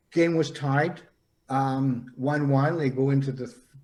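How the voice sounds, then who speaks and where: Audible room echo surrounds a man with a fairly high pitch. He talks very slowly with ordinary pitch variation. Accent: Canadian. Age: 70s. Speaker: psychic. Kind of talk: interview storytelling. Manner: halting, many fillers.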